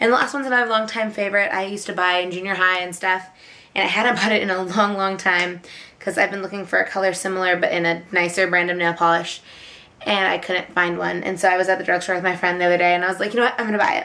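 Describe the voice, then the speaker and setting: The pace here is very fast. A woman speaks with monotone, flat intonation. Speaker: beauty vlogger. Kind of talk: casual vlog chat. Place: home room. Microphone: camera far.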